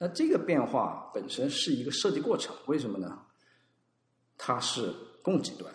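Audible room echo carries a man's fairly high-pitched voice with vocal fry at a moderate pace. His pitch swings very widely, and he pauses long and often. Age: 30s. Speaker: designer and design consultant. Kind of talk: casual chat.

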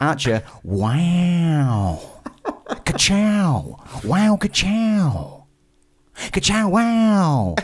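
In a put-on character voice at middle pitch, the speaker goes at a very slow pace with long, frequent pauses. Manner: catchphrase imitation.

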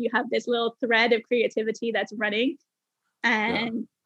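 High-pitched woman at a moderate pace, with a dry, close sound and no echo. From Bermuda. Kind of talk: casual interview chat.

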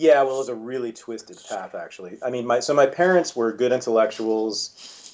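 A man with an American accent uses a normal speaking voice at a fairly quick pace. His loudness swings widely while his pitch varies in an ordinary way. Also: medium pitch for a man. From California. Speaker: historian and author. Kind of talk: interview.

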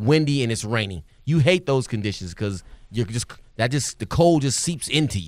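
Speaking at a medium pitch, a man uses lively intonation. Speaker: sideline reporter, former player. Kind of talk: phone interview. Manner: fast.

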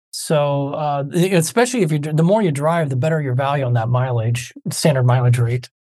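A man's dark, mellow voice, fairly high in pitch, somewhat breathy, with ordinary pitch variation. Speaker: tax advisor. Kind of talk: casual educational Q&A. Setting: video call webinar.

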